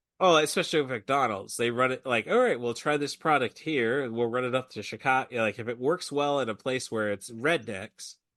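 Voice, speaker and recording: A man with an American accent and an ordinary speaking voice, medium in pitch with ordinary pitch variation, at a fairly quick pace with hardly any pauses, against a quiet background. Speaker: podcast host. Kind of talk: casual chat.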